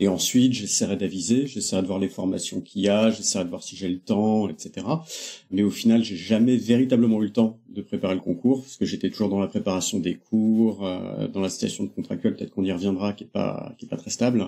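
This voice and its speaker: At a fairly quick pace, a man with a fairly low pitch and a dark, mellow tone speaks with big swings in loudness. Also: ordinary pitch variation. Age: 30s. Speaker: former philosophy teacher, web developer. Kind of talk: podcast interview. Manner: hesitant, many fillers.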